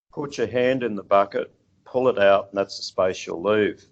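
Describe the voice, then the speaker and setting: Over a quiet background, a man with an Australian accent speaks at a moderate pace. His pitch is fairly low. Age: 60s. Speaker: seafood industry executive. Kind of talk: interview. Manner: halting, many fillers.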